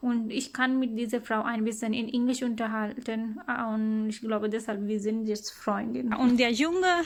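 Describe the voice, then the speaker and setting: A woman speaks in a fairly high pitch with fairly even intonation. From Pakistan. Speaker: vlogger, mother. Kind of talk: casual vlog narration. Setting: outdoors, walking with children. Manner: halting, frequent hesitations.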